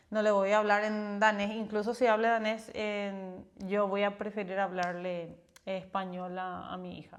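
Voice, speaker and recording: With a monotone, flat intonation, a woman at medium pitch speaks at a fairly slow pace, showing big swings in loudness amid audible room echo. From Paraguay. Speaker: podcast co-host. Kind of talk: casual chat.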